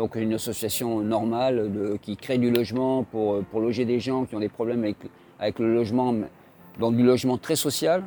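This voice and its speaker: A man's medium-pitched voice with a dark, mellow tone, fairly even intonation and a moderate pace. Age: 60s. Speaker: charity volunteer. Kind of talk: interview explanation. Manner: halting.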